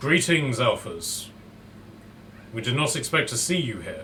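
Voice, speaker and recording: A man puts on a character voice, pitched fairly high, at a moderate pace. Background noise can be clearly heard. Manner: eerie, echoing.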